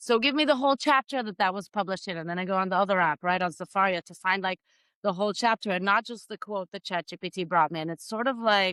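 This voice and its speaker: A woman with an Israeli accent at a very fast pace. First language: Hebrew. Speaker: spirituality podcaster and speaker. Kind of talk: podcast interview.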